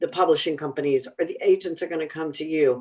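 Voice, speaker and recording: Lively intonation from a woman in an American accent. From Texas. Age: 60s. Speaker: former rock radio DJ and business speaker. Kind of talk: panel discussion. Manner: animated.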